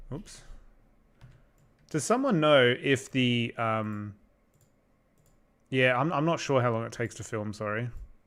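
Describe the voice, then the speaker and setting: Long, frequent pauses and ordinary pitch variation in an Australian accent, on a very clean recording with a silent background. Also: man, medium pitch for a man, fairly slow pace. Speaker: YouTube creator doing visual effects for stop-motion videos. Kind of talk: livestream chat reading viewer comments. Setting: livestream at computer. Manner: casual, hesitant with fillers.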